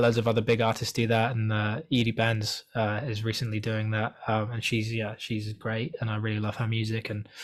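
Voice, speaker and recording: A man with a British accent speaks at a fairly quick pace, his voice at a medium pitch. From Wales. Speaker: singer-songwriter. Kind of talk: interview. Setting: video call. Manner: casual, many fillers and restarts.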